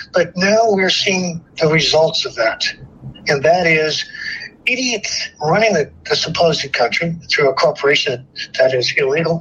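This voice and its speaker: Over noticeable background noise, a man with an American accent speaks at a high pitch with ordinary pitch variation. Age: 70s. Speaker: military veteran.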